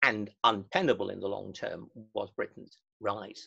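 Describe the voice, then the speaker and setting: In an English accent, a man speaks at a fairly slow pace with very wide pitch swings. His tone is bright and sharp, and the background is quiet. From England. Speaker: historian. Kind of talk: webinar lecture and discussion. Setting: video call. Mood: calm, measured. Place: home room. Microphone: webcam.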